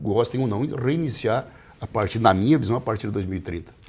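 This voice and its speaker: With medium pitch and very wide pitch swings, a man speaks at a fairly quick pace, sounding somewhat breathy. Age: 60s. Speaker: politician. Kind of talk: interview. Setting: office.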